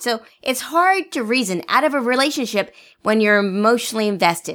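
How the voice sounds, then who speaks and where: Heard on a very clean recording with a silent background, a woman with an ordinary speaking voice talks at a moderate pace and a fairly high pitch. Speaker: podcast co-host. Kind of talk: casual co-hosted podcast chat. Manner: playful, bantering.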